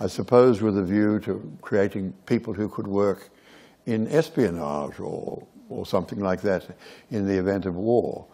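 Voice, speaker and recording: With an Australian accent, a man speaks at a moderate pace in a fairly low pitch, his tone dark and mellow and his pitch variation ordinary. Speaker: theatre director. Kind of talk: onstage interview. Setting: stage with audience.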